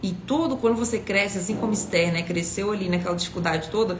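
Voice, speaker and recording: Noticeable background noise and audible room echo around a speaking woman. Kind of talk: devotional teaching. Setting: livestream.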